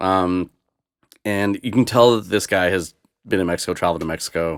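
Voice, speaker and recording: A man's very deep, low voice in a Boston accent, fairly quick and fairly even in intonation. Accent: American (Boston area). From US Northeast (Boston), born in Moscow. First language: Russian. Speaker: DJ. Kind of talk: casual chat.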